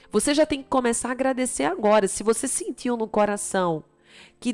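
A woman with an unremarkable speaking voice, ordinary pitch variation and a fairly quick pace, in a very clean recording with a silent background. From Brazil, Recife (Pernambuco). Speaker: motivational speaker and author. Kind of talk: motivational talk with religious themes. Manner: direct address to the listener.

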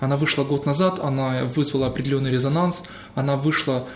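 A man with a medium pitch talks at a moderate pace while noticeable background noise plays behind him. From Crimea (Sevastopol). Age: 30s. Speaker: journalist and theologian. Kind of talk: interview.

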